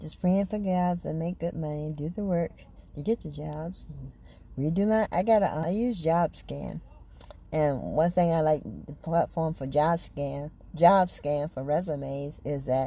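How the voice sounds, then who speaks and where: Somewhat breathy, a woman talks with a very deep, low pitch. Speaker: faith and self-help vlogger. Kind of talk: casual personal vlog monologue. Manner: repetitive, stumbling.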